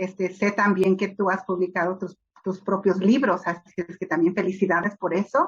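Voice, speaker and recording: The woman's voice is somewhat breathy and sits at a medium pitch. She keeps a moderate pace. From Los Angeles, US (born Mexico City). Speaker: children's book author. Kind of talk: interview. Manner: hesitant, many fillers.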